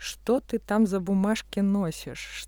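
A woman's dark, mellow tone is captured on a very clean recording against a silent background. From Russia. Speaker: architect and artist. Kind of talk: casual chat.

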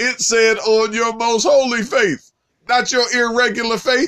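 A man is speaking. His tone is animated. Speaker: preacher. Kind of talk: sermon.

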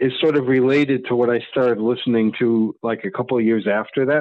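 In an American accent, a man with a medium-pitched, unremarkable speaking voice talks at a fairly quick pace. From Maine and Connecticut, US. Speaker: zine maker and concert photographer. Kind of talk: casual chat.

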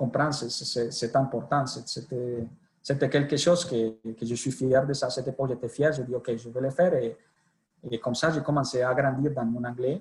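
Speaking fairly slowly with a Colombian accent, a man keeps a medium pitch and fairly even intonation. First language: Spanish (speaking French). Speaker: sales director. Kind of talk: interview. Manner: halting, mixing Spanish into French.

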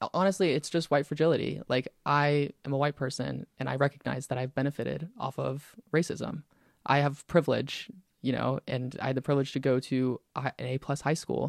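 In an unremarkable speaking voice with an American accent, the speaker goes at a fairly quick pace with fairly even intonation, in a dry, close sound with no echo. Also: man, fairly high pitch for a man. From US South, Pensacola, Florida. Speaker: university student senator. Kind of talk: casual interview chat.

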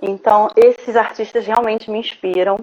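A woman speaks with ordinary pitch variation. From Rio de Janeiro, Brazil. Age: 30s. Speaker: visual artist. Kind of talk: interview, casual. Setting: live online broadcast.

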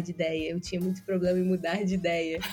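Music plays in the background. A woman speaks with monotone, flat intonation. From interior of Rio de Janeiro state, Brazil. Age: 20s. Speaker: podcast guest. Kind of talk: casual interview chat.

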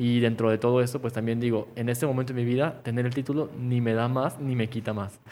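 A man with a Mexican accent speaks at medium pitch and a fairly quick pace. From Mexico. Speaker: podcast co-host, architecture worker. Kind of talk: casual chat. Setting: wearing face mask.

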